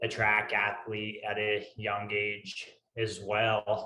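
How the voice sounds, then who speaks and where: A man speaks in a fairly low pitch with a strong Northeastern US accent. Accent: thick Northeastern US. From US Northeast. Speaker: ultrarunner. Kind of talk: interview.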